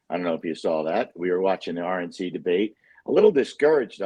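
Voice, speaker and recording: Talking at a very fast pace, the man has a fairly low pitch. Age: 60s. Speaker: precious metals broker. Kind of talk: casual chat.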